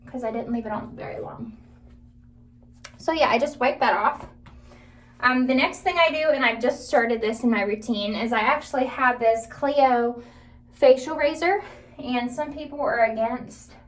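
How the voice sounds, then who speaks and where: A woman's high voice at a moderate pace, with ordinary pitch variation, long, frequent pauses and audible room echo. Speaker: beauty vlogger. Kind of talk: tutorial. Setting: bathroom.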